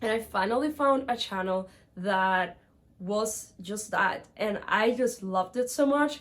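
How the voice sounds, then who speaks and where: A woman's medium-pitched voice with a Spanish accent. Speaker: book vlogger. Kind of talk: casual vlog monologue. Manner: animated.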